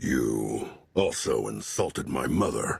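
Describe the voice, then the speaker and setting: Growling in a put-on character voice, a man speaks at a fairly slow pace with a very deep, low pitch. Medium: video game. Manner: smug, self-serving.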